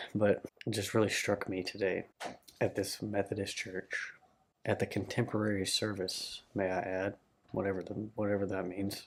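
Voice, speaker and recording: A man speaks at a moderate pace in a fairly low voice, his intonation flat and monotone. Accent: American. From Arkansas, Little Rock area. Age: 20s. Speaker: vlogger. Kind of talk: personal vlog monologue.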